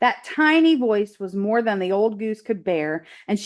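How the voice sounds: The reading comes in a natural reading voice whose intonation is lively.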